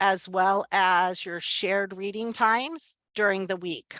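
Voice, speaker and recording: A woman's unremarkable speaking voice at a medium pitch, with fairly even intonation and a dry, close sound with no echo. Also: very clean recording, silent background. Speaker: teacher trainer. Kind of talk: professional development presentation.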